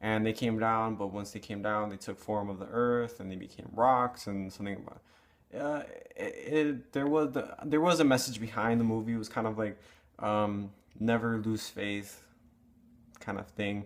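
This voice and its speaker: The speaker mumbles at a moderate pace with ordinary pitch variation. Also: man, medium pitch for a man. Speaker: movie reviewer. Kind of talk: casual vlog review. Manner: mumbling; halting, many fillers.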